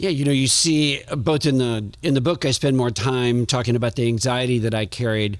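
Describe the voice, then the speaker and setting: An unremarkable speaking voice from a man with an American accent, medium in pitch with ordinary pitch variation, very even in loudness, fairly quick and with hardly any pauses. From US South, New Orleans. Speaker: author and Marine veteran. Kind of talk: podcast interview.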